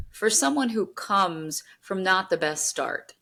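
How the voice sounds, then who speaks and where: A woman with an American accent speaks in an unremarkable speaking voice at a fairly slow pace, with a medium pitch and lively intonation. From New York. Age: 40s. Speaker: podcast host. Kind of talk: interview conversation.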